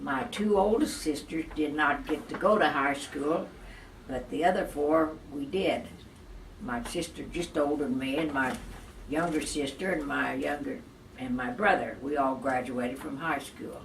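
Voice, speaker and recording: A woman with a very deep, low voice for a woman speaks at a moderate pace. Her intonation is lively over noticeable background noise. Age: 80s+. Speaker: Great Depression survivor. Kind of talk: interview answer.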